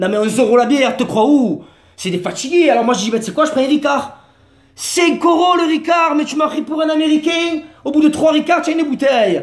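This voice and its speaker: A man with a Marseille accent speaks at a fairly quick clip in an extremely high voice, animated in tone, with big jumps in volume and ordinary pitch movement. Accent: southern French (Marseille). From Marseille, southern France. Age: 30s. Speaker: comedian / vlogger. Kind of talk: comic monologue vlog.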